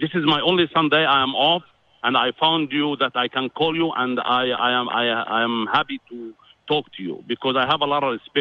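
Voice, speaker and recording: Moderate pacing from a man pitched fairly high, his pitch moving an ordinary amount. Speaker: caller. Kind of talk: call-in debate. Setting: phone call. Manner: halting.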